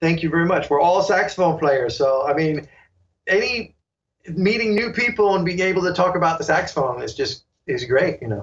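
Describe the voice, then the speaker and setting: A man speaks with an American accent. His voice is high-pitched and his pace fairly quick. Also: lively intonation. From New York. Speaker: saxophonist and online sax teacher. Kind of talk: interview.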